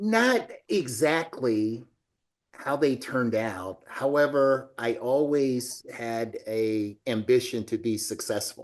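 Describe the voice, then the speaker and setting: Against a quiet background, a man with an American accent speaks very slowly at medium pitch with lively intonation. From US South, Alabama. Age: 60s. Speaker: business executive. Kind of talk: interview.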